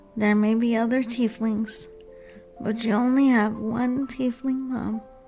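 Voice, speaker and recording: A soft-spoken woman with a fairly high pitch talks calmly at a fairly slow pace. Her intonation is monotone and flat, with music playing in the background. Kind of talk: ASMR stream talk. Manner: slow, calm.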